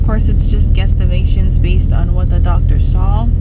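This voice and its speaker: The speech moves at a moderate pace. Room echo is audible, and background noise is noticeable. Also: woman. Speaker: vlogger. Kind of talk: casual vlog. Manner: whispering.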